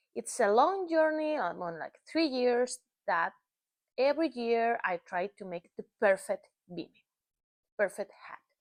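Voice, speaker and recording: A woman with a Spanish accent, high-pitched, at a fairly slow pace, with very wide pitch swings, big swings in loudness and long, frequent pauses. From northern Spain. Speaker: knitting and crochet designer. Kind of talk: casual vlog chat. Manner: halting.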